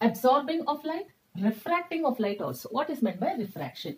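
The pitch swings very widely over a moderate pace. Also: woman. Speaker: teacher. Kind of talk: lecture. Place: classroom. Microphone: earbuds.

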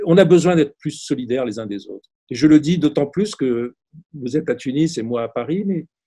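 Against a quiet background, a man speaks at a moderate pace in a dark, mellow tone. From Tunisia, then Grenoble, France; Tunisia. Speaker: film critic; interviewee. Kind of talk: interview. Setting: video call. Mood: warm, reflective. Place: home room. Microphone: video call.

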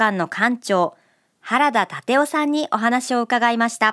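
A woman's high pitch and lively intonation over a quiet background. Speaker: radio presenter. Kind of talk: scripted radio segment narration. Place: studio. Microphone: studio mic.

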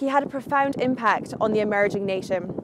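With a Scottish accent, a woman speaks at a moderate pace and ordinary pitch variation. The sound is dry with no echo, though background noise is noticeable. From Scotland. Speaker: video presenter. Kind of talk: scripted narration. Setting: outdoors. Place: garden.

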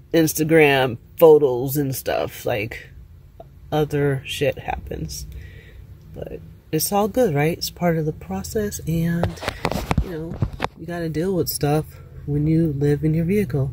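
A woman at a fairly slow pace with long, frequent pauses and ordinary pitch variation, dry sound with no echo, and noticeable background noise. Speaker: van dweller vlogger. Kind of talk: casual vlog chat. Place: car. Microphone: phone near.

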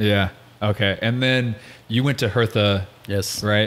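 A man with an American accent speaks at a fairly low pitch. His delivery is fairly slow and monotone, with flat intonation. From United States. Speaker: podcast host. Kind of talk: casual chat. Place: home room. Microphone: studio mic.

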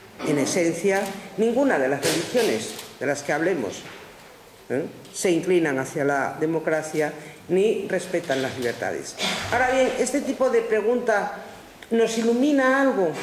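Amid noticeable background noise, a woman at medium pitch speaks at a fairly slow pace with very wide pitch swings and long, frequent pauses. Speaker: philosopher giving a lecture. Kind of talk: lecture. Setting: conference room with audience.

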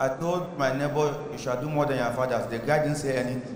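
A man at a fairly high pitch and moderate pace, with audible room echo and light background noise. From Cameroon. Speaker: stand-up comedian. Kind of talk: stand-up comedy. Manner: deadpan, cheeky, playful. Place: hall. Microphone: handheld.

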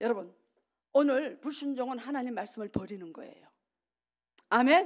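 A woman with a high pitch and animated tone at a moderate pace, against a quiet background. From South Korea. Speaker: revival preacher. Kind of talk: sermon. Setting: church. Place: church. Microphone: podium.

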